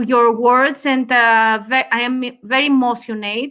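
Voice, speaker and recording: On a very clean recording with a silent background, a woman talks at a fairly slow pace. She has a Greek accent, a high pitch and monotone, flat intonation. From Greece. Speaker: cigar industry guest. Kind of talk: interview. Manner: halting, many hesitations.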